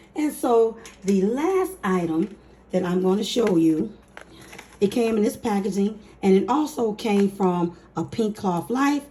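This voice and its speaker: Noticeable background noise surrounds a woman speaking at a fairly slow pace. Her tone is upbeat and her intonation lively. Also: medium pitch for a woman. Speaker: budgeting YouTuber. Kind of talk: casual talk to camera.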